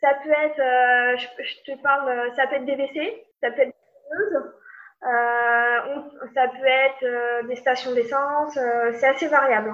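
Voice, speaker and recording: At a very slow pace, a woman speaks in a high pitch with fairly even intonation. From rural France. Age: 30s. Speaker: fluid mechanics engineer. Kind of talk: interview conversation. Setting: remote call.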